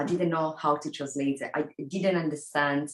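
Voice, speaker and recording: In an Italian accent, a woman speaks with a very deep, low pitch. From Italy. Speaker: professor. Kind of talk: lecture. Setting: video call.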